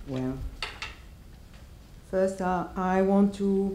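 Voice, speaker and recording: This speaker talks at a fairly slow pace with a French accent. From France. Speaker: academic speaker. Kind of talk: lecture.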